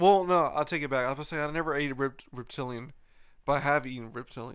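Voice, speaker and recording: Over a silent background in a very clean recording, a man talks at a fairly quick pace in a fairly high pitch with ordinary pitch variation and an unremarkable speaking voice. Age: 30s. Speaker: podcast host. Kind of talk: casual chat.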